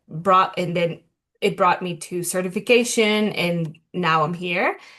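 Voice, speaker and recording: Against a quiet background, a woman with a Spanish accent speaks at a fairly slow pace in a bright, sharp tone. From Colombia. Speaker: self-love coach. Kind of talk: interview, personal story.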